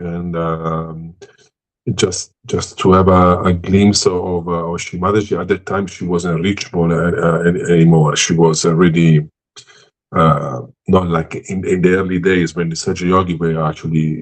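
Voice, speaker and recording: A man speaks at a moderate pace. His pitch is very deep and low, the intonation monotone and flat. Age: 60s. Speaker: musician. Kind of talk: interview. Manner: halting.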